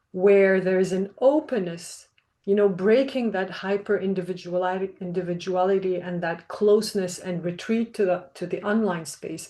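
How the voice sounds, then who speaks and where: With a non-native accent, a woman speaks in a dark, mellow tone at a moderate pace, with fairly even intonation and hardly any pauses. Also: medium pitch for a woman. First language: not English. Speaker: researcher. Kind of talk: panel talk. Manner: formal.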